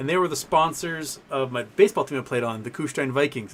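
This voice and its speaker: The man's pitch sits fairly high. He speaks very fast. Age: 40s. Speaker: livestream host, stock market commentator. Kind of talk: live stream chat reading viewer comments. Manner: casual, rambling.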